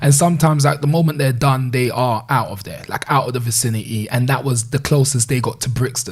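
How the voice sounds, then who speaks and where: A man with a Caribbean accent speaks at a fairly quick pace with hardly any pauses, medium pitch and ordinary pitch variation. Noticeable background noise is present. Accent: Caribbean twang. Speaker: community leader, former gang leader. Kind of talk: interview conversation. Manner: casual, filler-heavy speech.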